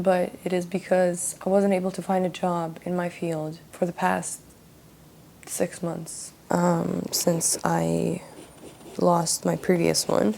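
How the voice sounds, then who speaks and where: A woman speaks in a Russian accent. Her pace is very slow. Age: young. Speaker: vlogger. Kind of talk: casual vlog monologue while painting.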